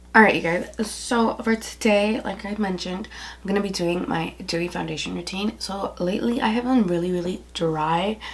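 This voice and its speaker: A soft-spoken voice over noticeable background noise. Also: woman, medium pitch for a woman, ordinary pitch variation, moderate pace. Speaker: beauty vlogger. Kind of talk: makeup tutorial. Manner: casual, filler-heavy.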